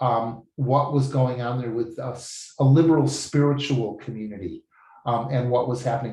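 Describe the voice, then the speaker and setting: A man speaks at a medium pitch with a dark, mellow tone, somewhat breathy, and ordinary pitch variation. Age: 70s. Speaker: language student giving a testimonial. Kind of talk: testimony. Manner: enthusiastic.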